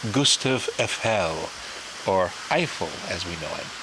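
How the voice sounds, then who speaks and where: A man speaks with an American accent at a fairly low pitch. Noticeable background noise can be heard. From United States. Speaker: travel videographer. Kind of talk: travel vlog narration. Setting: outdoors in Paris, filming on the move. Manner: casual and chatty.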